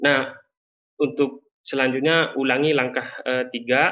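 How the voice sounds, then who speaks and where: Over a quiet background, a man speaks fairly slowly in a monotone, flat intonation. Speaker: climate data presenter; presenter. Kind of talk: webinar presentation. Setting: video call. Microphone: video call.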